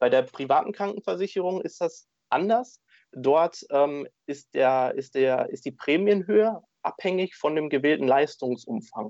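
A man speaks at a high pitch and a fairly slow pace with lively intonation. The background is quiet. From Germany, Dortmund, Ruhr area. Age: 20s. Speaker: insurance agent. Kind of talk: interview.

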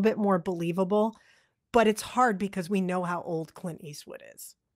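At a fairly quick pace, a woman with an American accent speaks in a normal speaking voice at medium pitch with ordinary pitch variation, on a very clean recording with a silent background. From Massachusetts, north of Boston. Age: 40s. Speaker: podcast co-host, film discussion. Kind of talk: casual chat.

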